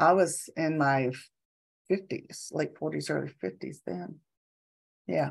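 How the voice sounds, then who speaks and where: Very slowly and with long, frequent pauses, a woman speaks in a very deep, low pitch with vocal fry and very wide pitch swings. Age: 70s. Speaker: energy kinesiologist and equine massage therapist. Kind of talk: casual interview chat.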